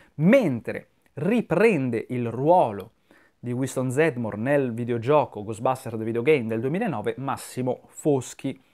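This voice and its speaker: With a quiet background, the speaker uses a dark, mellow tone and ordinary pitch variation at a fairly slow pace. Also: man. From Italy. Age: 30s. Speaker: YouTuber film commentator. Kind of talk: video monologue commentary. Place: home room. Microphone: lapel.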